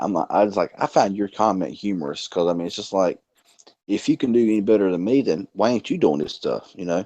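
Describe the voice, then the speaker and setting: A man with a fairly low pitch and a dark, mellow tone speaks at a fairly quick pace with ordinary pitch variation, recorded with a dry, close sound and no echo. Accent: Southern US. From North Carolina. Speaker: tech youtuber. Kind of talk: casual chat.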